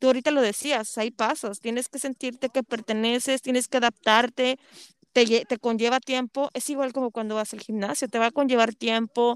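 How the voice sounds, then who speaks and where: A woman speaks with a high pitch and fairly even intonation at a moderate pace. The sound is dry and close, with no echo. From Monterrey, Mexico. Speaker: podcast host. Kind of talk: interview conversation.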